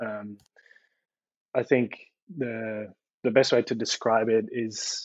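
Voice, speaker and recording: A man speaks at a moderate pace with a Dutch accent. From Netherlands, small country town. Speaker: industrial designer. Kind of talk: casual chat.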